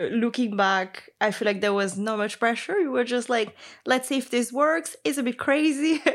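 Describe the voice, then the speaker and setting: With a Portuguese accent, a woman speaks at a high pitch and a moderate pace, her intonation lively. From Brazil. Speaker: interview guest, one half of a couple. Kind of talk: casual conversational interview.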